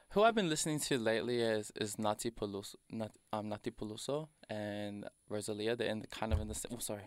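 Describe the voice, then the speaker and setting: In a very clean recording with a silent background, a man with an Australian accent speaks very fast at a fairly low pitch with ordinary pitch variation. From Melbourne's south-east suburbs, Australia. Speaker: hip-hop artist. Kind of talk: interview. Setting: studio.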